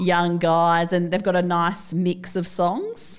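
In a very clean recording with a silent background, a woman with an Australian accent speaks at a fairly slow pace and a fairly low pitch. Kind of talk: casual chat.

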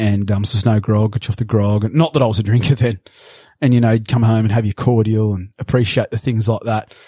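A man with an Australian accent at a very fast pace, medium in pitch, somewhat breathy with a dark, mellow tone and fairly even intonation, in a dry, close sound with no echo. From Sydney, Australia (Bondi Beach). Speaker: cattle station worker. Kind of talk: interview.

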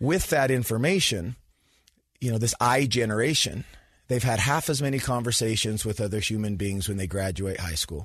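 A man with an American accent, a somewhat breathy voice and lively intonation, over a quiet background. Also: medium pitch for a man, moderate pace. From Utah (Sandy). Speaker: youth sports program founder and speaker. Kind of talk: interview.

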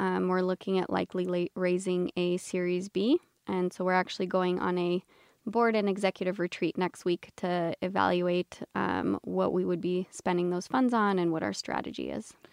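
Her medium-pitched voice comes at a moderate pace, and the woman's sound is dry and close with no echo. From Romania. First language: Romanian. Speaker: startup founder and CEO. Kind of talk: casual interview.

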